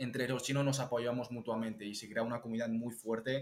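Speaking at a fairly quick pace, a man keeps a medium pitch and a monotone, flat intonation. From Catalonia, Spain (Chinese parents). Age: young (19). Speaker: TikToker and entrepreneur. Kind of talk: interview conversation.

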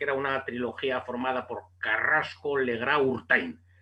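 A man's voice over noticeable background noise. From Basque Country, Spain (Bilbao). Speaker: boxing journalist. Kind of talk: casual interview.

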